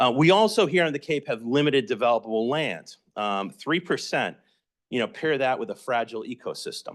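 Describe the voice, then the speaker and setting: Over a quiet background, the speaker moves at a fairly quick pace with an American accent and very wide pitch swings. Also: man, fairly high pitch for a man. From Massachusetts (Somerville, Boston area). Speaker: housing advocate presenter. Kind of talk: educational presentation.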